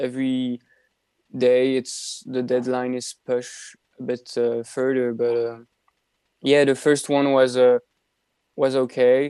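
A man with a dark, mellow tone and a medium pitch speaks at a very slow pace, with long, frequent pauses. His intonation is monotone and flat, and the sound is dry and close with no echo. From Belgium. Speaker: university student. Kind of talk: radio interview. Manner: halting.

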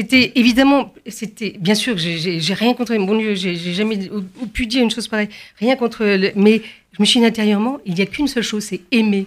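An ordinary speaking voice from a woman, fairly high in pitch with ordinary pitch variation, at a moderate pace in a very clean recording with a silent background. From France, Paris area and Provence. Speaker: concert pianist. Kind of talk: radio interview.

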